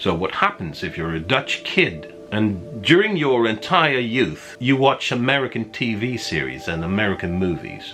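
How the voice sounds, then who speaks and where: Over music in the background, a man talks at a moderate pace with very wide pitch swings and hardly any pauses. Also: medium pitch for a man. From Netherlands. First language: Dutch. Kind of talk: casual talk to camera.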